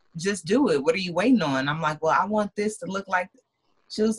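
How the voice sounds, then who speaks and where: A somewhat breathy woman of medium pitch talks at a moderate pace with lively intonation, in a dry, close sound with no echo. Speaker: lash brand entrepreneur. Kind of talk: casual interview chat.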